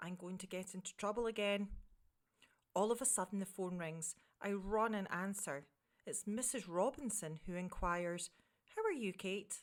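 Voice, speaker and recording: A woman speaks with a Scottish accent at a medium pitch. Her pace is moderate and her pitch varies in an ordinary way. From Scotland. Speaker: communications director. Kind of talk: children's story reading.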